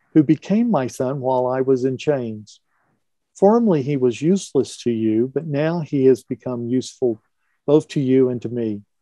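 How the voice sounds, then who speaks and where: Against a quiet background with a dry sound and no echo, a man talks at a moderate pace with a dark, mellow tone and ordinary pitch variation. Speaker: teacher leading scripture reading group. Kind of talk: scripture reading aloud. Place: home room. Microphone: video call.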